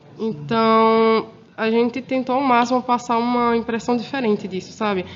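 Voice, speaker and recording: Fairly even intonation marks this woman's speech. Her pitch is fairly high and her pace moderate. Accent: northeastern Brazilian. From Brazilian Northeast. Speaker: former exchange student. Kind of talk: casual chat.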